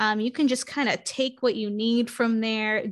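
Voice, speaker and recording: Against a quiet background, a woman with an American accent speaks at a moderate pace in a fairly high pitch with monotone, flat intonation. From New York City, Queens. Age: 30s. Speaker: business coach. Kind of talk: podcast interview.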